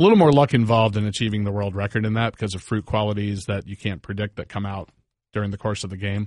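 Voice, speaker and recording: A man with a fairly low pitch at a very fast pace, in a dry, close sound with no echo. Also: fairly even intonation. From Northern Virginia. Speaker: rock band member. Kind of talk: casual chat. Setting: studio.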